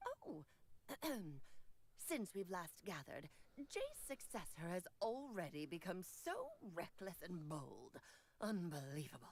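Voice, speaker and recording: Using a put-on character voice, a woman speaks at medium pitch and a fairly slow pace, leaving long, frequent pauses. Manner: haughty, scolding.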